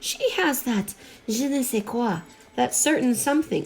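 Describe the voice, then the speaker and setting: A female-sounding, put-on character voice sits high in pitch. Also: moderate pace. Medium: read story. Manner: enthusiastic, emphatic.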